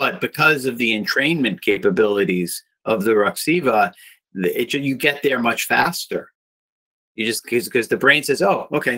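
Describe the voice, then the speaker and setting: A man's bright, sharp voice at medium pitch, with lively intonation. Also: moderate pace. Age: 50s. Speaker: neurofeedback brain trainer. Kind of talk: podcast interview.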